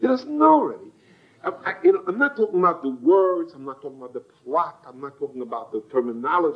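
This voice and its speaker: A man with an American accent speaks very fast at a high pitch, his pitch swinging very widely. His loudness also swings a lot, over noticeable background noise. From United States. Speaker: Torah teacher. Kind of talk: lecture. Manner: halting, with frequent repetitions.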